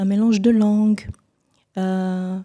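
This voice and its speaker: In a dark, mellow tone, a woman speaks at medium pitch with monotone, flat intonation. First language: Bulu (speaking French). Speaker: singer. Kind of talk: TV interview.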